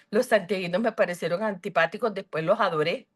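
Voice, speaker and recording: This woman speaks in a Colombian Caribbean accent. Her pitch sits in the medium range. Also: quiet background. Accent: Colombian Caribbean coastal Spanish. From Colombia, Cartagena (Caribbean coast). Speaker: book club member. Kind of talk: video call discussion. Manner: hesitant, many fillers.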